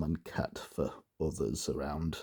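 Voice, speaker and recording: A man's very deep, low voice, somewhat breathy, with a dark, mellow tone. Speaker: dialect enthusiast, book reviewer. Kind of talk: casual book review. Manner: hesitant, many fillers.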